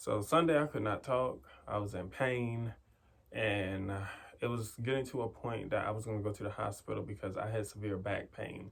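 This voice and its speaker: A man speaks at a fairly low pitch with ordinary pitch variation and a somewhat breathy quality. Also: moderate pace. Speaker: meditation podcast host. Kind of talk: casual vlog talk with affirmations.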